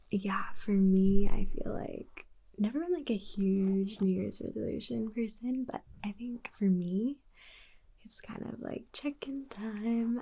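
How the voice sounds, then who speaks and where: Soft-spoken and somewhat breathy, a woman talks at a very slow pace with a fairly high pitch, ordinary pitch variation and big swings in loudness. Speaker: ASMR creator. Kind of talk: ASMR livestream talk.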